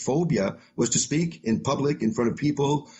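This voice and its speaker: Speaking with a French-Canadian accent, a man keeps a moderate pace and ordinary pitch variation. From Quebec, Canada. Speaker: author and motivational speaker. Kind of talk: podcast interview.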